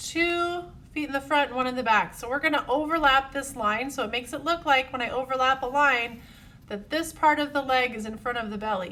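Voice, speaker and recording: A woman's bright, sharp, high-pitched voice, raised and projected, with ordinary pitch variation and a fairly quick pace. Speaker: art teacher. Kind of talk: tutorial. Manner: friendly, encouraging.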